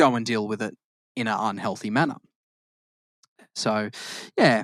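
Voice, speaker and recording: A man with an Australian accent and fairly even intonation, on a very clean recording with a silent background. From Australia, Queensland (born in Victoria). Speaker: podcast co-host. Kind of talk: casual chat. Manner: halting, frequent self-corrections.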